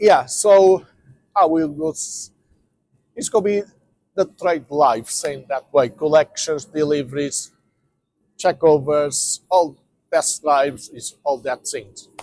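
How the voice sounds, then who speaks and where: With a non-native accent, the speaker goes at a very slow pace with long, frequent pauses, big swings in loudness and ordinary pitch variation, in a dry, close sound with no echo. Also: man. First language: not English. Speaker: van dealer and mechanic. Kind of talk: tutorial. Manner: halting.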